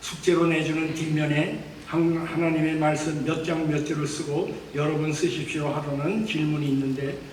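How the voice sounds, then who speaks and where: Over noticeable background noise, a man speaks fairly slowly in a fairly high, monotone voice with flat intonation and hardly any pauses. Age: 80s+. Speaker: church elder. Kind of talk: testimony speech at church.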